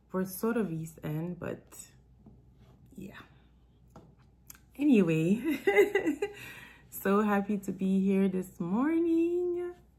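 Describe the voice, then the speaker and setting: Speaking very slowly with long, frequent pauses, a woman uses a medium-pitched, somewhat breathy voice with a dark, mellow, warm tone, very wide pitch swings and big swings in loudness. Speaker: author and self-development coach. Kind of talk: live-stream chat with book reading. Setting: live stream. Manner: casual, warm.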